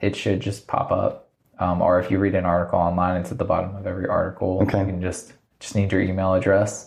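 With an American accent, a man speaks fairly quickly in a very deep, low, somewhat breathy voice with monotone, flat intonation. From Virginia, US. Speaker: magazine founder and entrepreneur. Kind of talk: casual interview. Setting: spare room at office.

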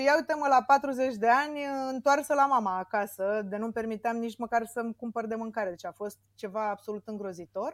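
Her sound dry and close with no echo, a woman with a normal speaking voice talks fairly quickly at a fairly high pitch, with ordinary pitch variation and big swings in loudness. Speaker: entrepreneur, gym founder. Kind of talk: interview. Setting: remote call.

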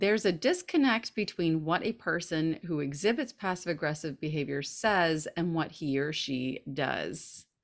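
On a very clean recording with a silent background, a woman with an American accent speaks at a moderate pace with hardly any pauses, her fairly low voice carrying lively intonation. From US South. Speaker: podcast co-host. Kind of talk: casual chat.

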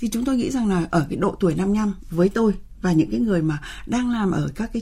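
Somewhat breathy and dark, mellow in tone, a woman's medium-pitched voice shows ordinary pitch variation. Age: 60s. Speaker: researcher and center director. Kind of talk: radio interview discussion.

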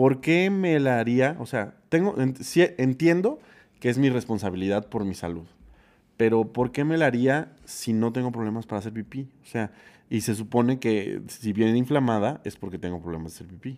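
Over a very clean recording with a silent background, a man uses an ordinary speaking voice at medium pitch and a moderate pace, with lively intonation. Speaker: podcast co-host. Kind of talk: casual chat.

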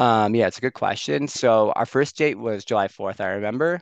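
Dry and close with no echo over a quiet background, a man with a Chicago accent speaks at a moderate pace in a fairly low pitch with lively intonation. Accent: Chicago American English. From US Midwest, Skokie near Chicago. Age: 20s. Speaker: software engineer. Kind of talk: casual interview chat. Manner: frequent fillers, hesitant.

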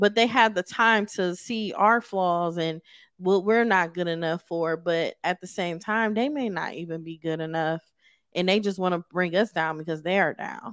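In a normal speaking voice, the talker keeps a moderate pace and ordinary pitch variation, in a very clean recording with a silent background and a dry, close sound with no echo. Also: woman, medium pitch for a woman. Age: 40s. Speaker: podcast host. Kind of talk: interview. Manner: laughs often.

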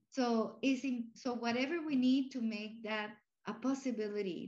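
Speaking fairly slowly with a Spanish accent, a woman uses a fairly high pitch. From Cuba and Puerto Rico. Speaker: university president. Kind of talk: casual interview.

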